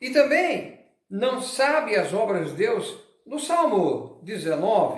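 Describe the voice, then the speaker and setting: The speech moves at a very slow pace with very wide pitch swings. Room echo is audible. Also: man, extremely high pitch for a man. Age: 70s. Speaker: pastor. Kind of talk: sermon.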